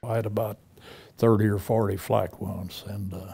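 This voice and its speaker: Somewhat breathy and fairly low, a man's voice has a dark, mellow tone and flat, monotone intonation. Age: 90s. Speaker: WWII veteran and author. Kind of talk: interview testimony. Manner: halting.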